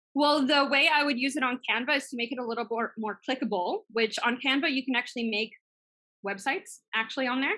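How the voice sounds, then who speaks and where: A woman's high, bright, sharp voice, raised and projected, very fast with ordinary pitch variation. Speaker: business coach and systems assistant. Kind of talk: webinar training with Q&A.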